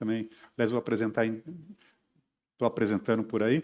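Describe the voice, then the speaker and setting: This man has a medium pitch. He speaks at a fairly quick pace. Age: 60s. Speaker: stage and TV actor. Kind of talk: interview.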